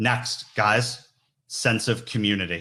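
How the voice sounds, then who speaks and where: Loud and fairly low-pitched, a man talks with ordinary pitch variation in a very clean recording with a silent background. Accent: New York. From New York. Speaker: recruiter, conference keynote speaker. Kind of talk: keynote talk.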